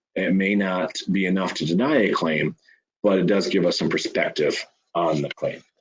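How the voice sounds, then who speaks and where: A man speaks at a moderate pace in an ordinary speaking voice. His pitch is fairly low and his intonation lively. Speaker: insurance claims staff presenter. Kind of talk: webinar presentation. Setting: online webinar.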